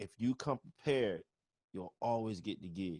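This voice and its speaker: A man talks in an ordinary speaking voice at a medium pitch, with lively intonation. The sound is dry and close, with no echo. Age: 30s. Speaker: webinar host, bass player and music professor. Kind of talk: casual interview. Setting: video call livestream.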